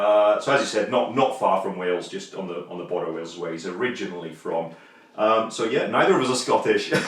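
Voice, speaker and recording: A man at a fairly low pitch with lively intonation and a fairly quick pace, audible room echo and noticeable background noise around him. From northeast England. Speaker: YouTube vlogger. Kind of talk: casual chat.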